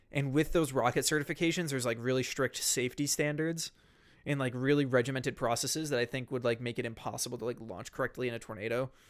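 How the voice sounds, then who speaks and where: Talking at a very fast pace with an American accent, a man keeps a medium pitch and fairly even intonation on a very clean recording with a silent background. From western Massachusetts, Pioneer Valley. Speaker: weather streamer. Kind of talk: casual live stream chat. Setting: home office on a couch.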